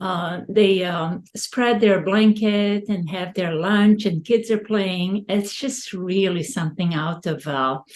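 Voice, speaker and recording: Noticeable background noise sits behind a woman speaking at a very slow pace and a medium pitch. She hardly pauses at all. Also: ordinary pitch variation. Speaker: podcast host. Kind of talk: interview.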